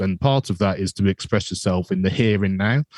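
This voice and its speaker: A man with a British accent, in a dry, close sound with no echo. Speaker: educator and music teacher. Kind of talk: interview.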